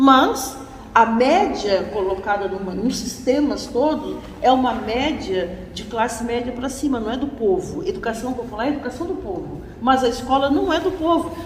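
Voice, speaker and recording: Amid noticeable background noise and audible room echo, a woman with a high pitch speaks at a moderate pace with lively intonation. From Brazil, Florianópolis. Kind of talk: lecture.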